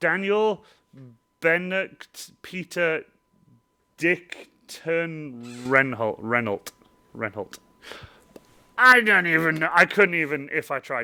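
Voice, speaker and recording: Lively intonation and a bright, sharp tone mark this very slow delivery, broken by long, frequent pauses. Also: man, fairly high pitch for a man. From Wales. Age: 20s. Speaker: cosplayer and live streamer. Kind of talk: casual live stream chat. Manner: rambling, repetitive, stumbling.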